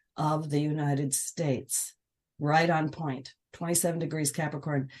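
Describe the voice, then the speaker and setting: A woman's raspy, put-on character voice at a fairly slow pace. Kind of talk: astrology explanation. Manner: very slow, deliberate.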